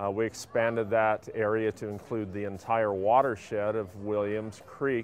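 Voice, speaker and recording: A man's fairly low-pitched, monotone voice with flat intonation at a fairly slow pace, with music in the background. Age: 60s. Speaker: retired biologist, pesticide exposure witness. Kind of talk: personal testimony. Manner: halting, with frequent fillers.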